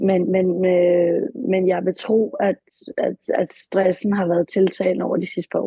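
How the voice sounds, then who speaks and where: Somewhat breathy and at a medium pitch, a woman speaks at a very slow pace with fairly even intonation. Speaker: client in therapy session. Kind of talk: therapy session. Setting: studio. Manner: halting.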